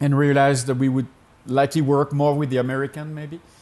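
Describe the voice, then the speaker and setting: With a French accent, a man speaks at a fairly high pitch and with fairly even intonation. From France. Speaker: pastor and missionary. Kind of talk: interview answer.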